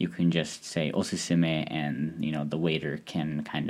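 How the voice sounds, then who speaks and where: Speaking at a fairly slow pace, a man with a very deep, low pitch keeps his intonation fairly even, with vocal fry running through. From Hungary. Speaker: podcast host. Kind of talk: solo podcast monologue. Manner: frequent fillers and hesitations.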